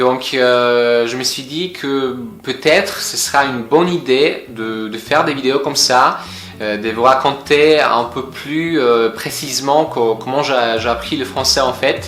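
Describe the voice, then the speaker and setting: A man talks at a very slow pace with a medium pitch and ordinary pitch variation, music playing in the background and audible echo in the room. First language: Polish (speaking French). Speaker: language-learning YouTuber. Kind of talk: personal explainer video. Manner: hesitant, many fillers.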